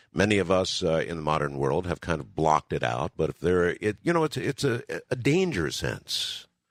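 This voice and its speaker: In an American accent, the voice shows very wide pitch swings and vocal fry, with a dry, close sound and no echo. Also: man. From United States. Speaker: radio host. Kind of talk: late-night call-in radio hosting.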